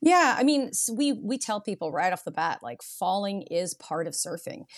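A woman with a Canadian accent at a fairly quick pace, over noticeable background noise. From Canada, Vancouver Island (Nanaimo, BC). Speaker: surf school owner and instructor. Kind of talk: casual interview.

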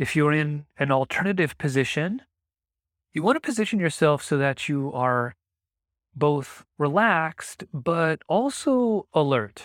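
In a dry, close sound with no echo, a man uses an ordinary speaking voice, fairly high in pitch and at a fairly slow pace. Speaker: meditation teacher. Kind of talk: guided meditation. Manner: gentle, clear, encouraging.

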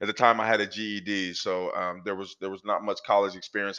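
A fairly low-pitched man with an American accent talks at a fairly quick pace, monotone and flat, in a bright, sharp tone. The background is quiet. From US Pacific Northwest, Portland, Oregon. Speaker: author and speaker, former prisoner. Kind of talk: interview, personal testimony.

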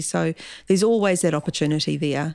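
A woman with a New Zealand accent, talking at a very fast pace. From New Zealand, Gisborne. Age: 50s. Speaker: school principal. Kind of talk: interview.

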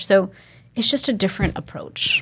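This woman has an ordinary speaking voice with an American accent, medium pitch and a moderate pace, captured on a very clean recording with a silent background. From Texas. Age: 40s. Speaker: Ayurvedic practitioner. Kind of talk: casual interview.

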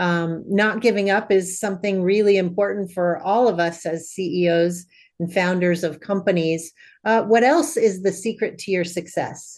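A woman's medium-pitched, a plain, everyday voice, with fairly even intonation at a moderate pace against a quiet background. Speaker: podcast host. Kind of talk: interview, scripted intro and outro.

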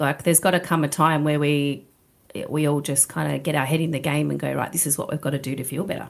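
At a fairly quick pace, a woman with an Australian accent speaks in a very deep, low pitch with fairly even intonation. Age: 40s. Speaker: gym owner. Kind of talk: interview. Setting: studio.

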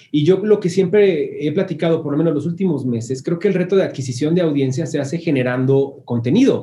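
Fairly high in pitch, a man talks at a fairly quick pace. He uses ordinary pitch variation and hardly any pauses. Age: 30s. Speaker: music marketing agency founder. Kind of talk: interview. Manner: casual.

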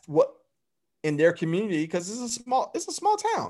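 This man has a Southern US accent. His pitch swings very widely. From Alabama (Phenix City). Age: 30s. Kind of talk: casual chat.

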